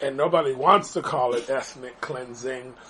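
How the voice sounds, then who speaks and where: Medium in pitch, this man's voice comes through clearly. He keeps a fairly slow pace. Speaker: podcast host. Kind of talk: casual commentary podcast.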